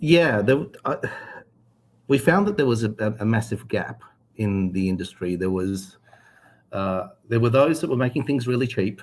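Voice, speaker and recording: Pausing long and often, a man talks at a medium pitch with lively intonation. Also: moderate pace. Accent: Australian. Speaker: cable company executive. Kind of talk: interview. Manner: hesitant, many fillers.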